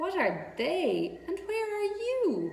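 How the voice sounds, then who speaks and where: A woman's squeaky, put-on character voice at an extremely high pitch, with a slight echo. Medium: read story. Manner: eager, polite.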